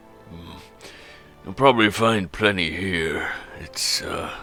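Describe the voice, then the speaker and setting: A man puts on a raspy character voice with a very deep, low pitch, at a fairly slow pace. Clear music plays behind him. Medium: actual play. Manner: dry, gruff, knowing.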